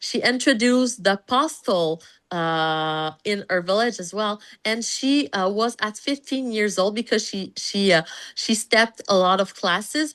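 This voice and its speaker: Over a quiet background, a woman speaks at a medium pitch. Her pace is fairly slow, her intonation lively. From Canada, French-speaking. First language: French. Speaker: pediatrician. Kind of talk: interview conversation. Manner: halting, many fillers.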